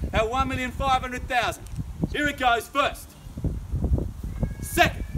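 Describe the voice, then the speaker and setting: Over noticeable background noise, a man speaks at an extremely high pitch with fairly even intonation. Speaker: auctioneer. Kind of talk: live auction bidding call. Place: garden. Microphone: camera far.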